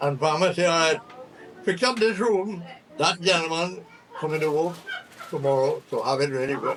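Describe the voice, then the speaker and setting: A man's high-pitched voice at a moderate pace, broken by long, frequent pauses, over noticeable background noise. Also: ordinary pitch variation. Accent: Trinidadian. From Trinidad. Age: 80s+. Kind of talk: casual storytelling to family. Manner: witty, impish.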